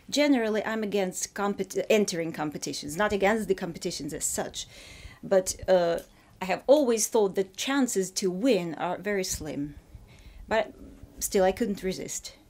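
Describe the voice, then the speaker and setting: With a Russian accent, a woman speaks at a moderate pace and a medium pitch, using lively intonation. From Ukraine. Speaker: fiction writer. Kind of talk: interview. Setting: in Paris. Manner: halting, with false starts.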